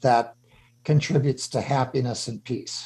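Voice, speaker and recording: With a fairly slow pace and a quiet background, a man speaks at medium pitch in a dark, mellow, somewhat breathy tone. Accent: American. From Chicago. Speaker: radio host, former CEO. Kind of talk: radio interview.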